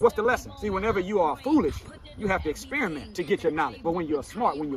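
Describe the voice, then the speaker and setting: Noticeable background noise sits behind a man whose voice is high-pitched. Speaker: minister. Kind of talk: motivational speech. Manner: calm but commanding.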